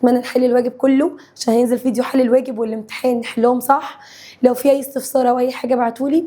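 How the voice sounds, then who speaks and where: Speaking very fast with an Egyptian accent, a woman sounds animated and high-pitched. Her loudness stays very even throughout. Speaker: science teacher. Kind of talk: lecture.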